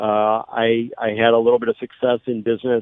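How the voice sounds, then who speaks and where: A man in a Midwestern US accent talks with a monotone, flat intonation. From St. Louis area (Belleville, Illinois). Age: 60s. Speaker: political candidate. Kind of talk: radio interview. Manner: halting, many fillers.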